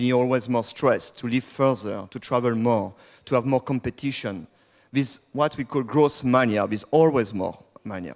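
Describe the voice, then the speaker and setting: Speaking with a French accent at a fairly slow pace, a man uses a medium pitch with ordinary pitch variation. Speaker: degrowth activist and speaker. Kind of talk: conference talk.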